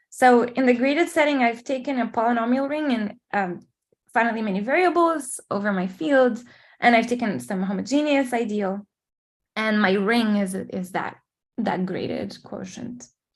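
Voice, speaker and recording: In a Portuguese accent, the speaker keeps a moderate pace and ordinary pitch variation over a quiet background. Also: woman, fairly high pitch for a woman. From Portugal or Brazil. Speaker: mathematician. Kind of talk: lecture. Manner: hesitant, many fillers.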